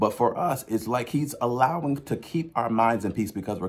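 Using lively intonation, a man speaks at a middling pace. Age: 30s. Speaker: preacher. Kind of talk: sermon. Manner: halting. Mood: earnest, encouraging. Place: home room. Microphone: phone near.

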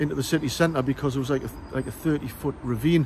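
Over light background noise, a man speaks at a fairly quick pace with fairly even intonation, the sound dry with no echo. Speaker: local history guide. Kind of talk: casual explanatory vlog. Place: open country. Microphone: lapel.

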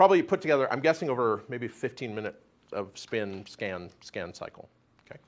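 A man at a fairly quick pace, with very wide pitch swings and big swings in loudness. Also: medium pitch for a man. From US, Oklahoma City. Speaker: atmospheric science professor. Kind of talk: lecture. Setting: stage with audience. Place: classroom.

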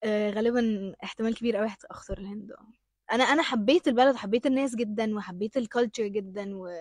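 With a quiet background and a dry sound with no echo, a woman talks in an animated tone at a moderate pace, fairly high-pitched, with ordinary pitch variation and big swings in loudness. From Egypt. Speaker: actress. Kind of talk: interview. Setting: studio with audience. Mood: cheerful, smiling. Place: studio. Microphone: handheld.

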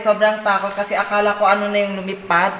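A woman speaks at a fairly quick pace, with light background noise and audible room echo. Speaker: travel vlogger. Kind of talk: casual vlog chat. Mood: shaken, scared by bats. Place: tunnel cave.

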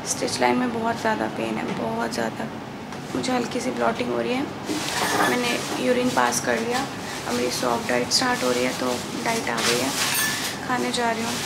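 A woman's tired-toned voice at a moderate pace, broken by long, frequent pauses, over loud background noise. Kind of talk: casual vlog chat. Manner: weak, tired voice in post-surgery pain. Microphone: phone near.

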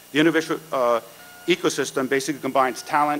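There is light background noise as a man talks with ordinary pitch variation. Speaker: event host introducing keynote. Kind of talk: conference introduction speech. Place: hall. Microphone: podium.

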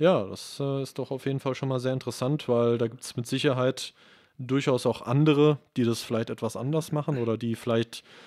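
The speaker is a man with a medium pitch. He keeps a moderate pace and fairly even intonation. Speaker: video and gear technician. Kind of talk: casual chat. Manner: hesitant, many fillers.

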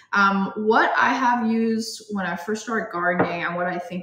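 A woman talks while background noise is clearly audible. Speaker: guest. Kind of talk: tutorial. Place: home room. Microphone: phone near.

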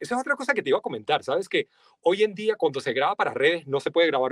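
A man with a Venezuelan accent talks with lively intonation over a quiet background, the sound dry with no echo. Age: 40s. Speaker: voice-over artist. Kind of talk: interview. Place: studio. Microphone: studio mic.

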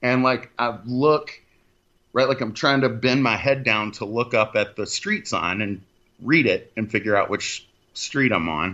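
Delivered at a fairly slow pace, a plain, everyday voice carries ordinary pitch variation. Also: man, medium pitch for a man. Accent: American. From Texas. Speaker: paranormal podcast host. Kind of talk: casual chat.

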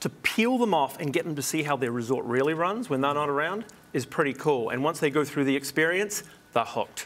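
A man speaks with a New Zealand accent at a fairly high pitch. His pace is fairly quick and his intonation lively. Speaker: hospitality consultant and TV host. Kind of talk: TV interview. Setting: studio. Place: studio. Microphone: lapel.

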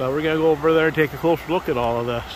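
Delivered at a very fast pace, the speech has a dry sound with no echo and noticeable background noise behind it. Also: man. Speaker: vlogger. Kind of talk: casual vlog chat. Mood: pleased, curious. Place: waterside. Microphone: phone near.

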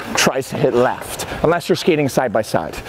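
Speech unfolds at a moderate pace. Background noise is noticeable throughout. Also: man. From Ontario, Canada. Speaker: hockey coach. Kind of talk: on-ice coaching lesson. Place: stadium.

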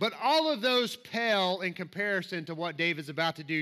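A man speaks at a moderate pace with a Southern US accent, his pitch high and his tone bright and sharp. His pitch varies in an ordinary way against a quiet background. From US South. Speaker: preacher. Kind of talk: sermon. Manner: animated. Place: church.

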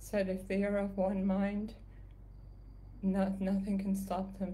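A woman speaks in a medium pitch with a somewhat breathy voice and monotone, flat intonation. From Canada. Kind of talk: casual livestream update. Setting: live video stream from home. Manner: soft-spoken.

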